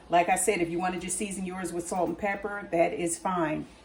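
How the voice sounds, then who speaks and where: A woman's medium-pitched voice, with music in the background. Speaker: cooking channel host. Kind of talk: cooking tutorial. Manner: casual, hesitant with fillers and restarts.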